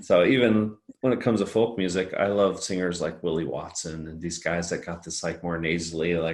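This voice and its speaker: A man with a very deep, low voice talks at a fairly quick pace with ordinary pitch variation. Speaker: singer-songwriter. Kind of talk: casual chat.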